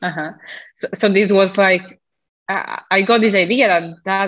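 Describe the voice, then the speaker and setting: At a moderate pace and with ordinary pitch variation, the voice comes over a quiet background. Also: woman. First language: not English. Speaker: health coach. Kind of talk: casual interview chat. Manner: halting, hesitant with fillers.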